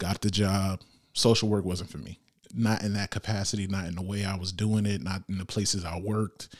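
Speech proceeds at a moderate rate. Background silence surrounds a very clean recording. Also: man. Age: 20s. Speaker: podcast host. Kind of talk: solo podcast monologue. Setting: on camera. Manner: animated.

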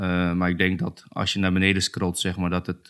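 On a very clean recording with a silent background, a man speaks at a very deep, low pitch. His fairly quick delivery has monotone, flat intonation. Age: 30s. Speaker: UX designer. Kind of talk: casual chat.

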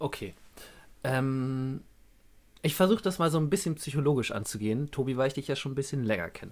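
With lively intonation, a man talks at a fairly high pitch and a fairly quick pace, though long, frequent pauses interrupt him. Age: 20s. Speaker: podcast co-host. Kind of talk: casual chat, storytelling.

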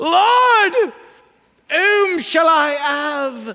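This is a put-on character voice at an extremely high pitch. It is delivered in a strong Cockney accent. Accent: thick cockney. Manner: pleading, anguished.

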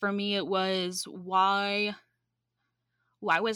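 On a very clean recording with a silent background, a woman speaks with an American accent. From US South, metro Atlanta. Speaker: seminary student and project management consultant. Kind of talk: interview conversation.

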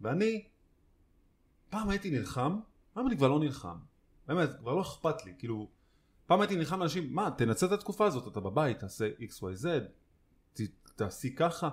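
Using vocal fry and very wide pitch swings, a man speaks with long, frequent pauses. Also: fairly high pitch for a man, moderate pace. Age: 30s. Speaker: podcast co-host. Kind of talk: casual chat.

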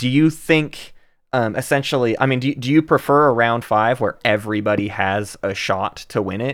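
A man uses a plain, everyday voice at a medium pitch. He speaks at a moderate pace with ordinary pitch variation. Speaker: podcast co-host. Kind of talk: casual interview chat.

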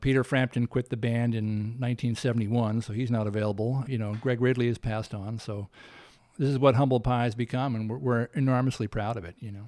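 A man with an American accent talks at a very fast pace with fairly even intonation, in a dark, mellow tone at medium pitch. The recording is very clean with a silent background. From US South. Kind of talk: interview.

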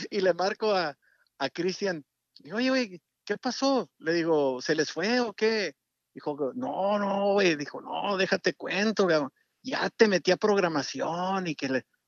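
The sound is dry and close, with no echo. A man talks at a fairly slow pace in a high pitch. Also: lively intonation. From Mexico, Durango sierra. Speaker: music producer. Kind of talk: interview. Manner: halting.

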